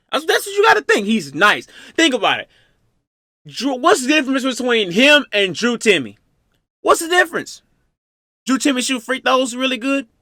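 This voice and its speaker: This man's extremely high voice is raised and projected, bright and sharp, with an animated tone and very wide pitch swings. He keeps a moderate pace, with long, frequent pauses. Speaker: reaction youtuber. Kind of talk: casual reaction commentary. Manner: stuttering at times.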